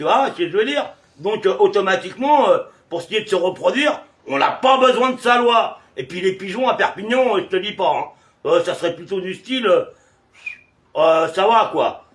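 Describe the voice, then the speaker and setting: The delivery has lively intonation and big swings in loudness. It moves at a moderate pace. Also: man, high pitch for a man. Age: 60s. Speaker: video blogger. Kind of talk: casual chat. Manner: hesitant, many filler sounds.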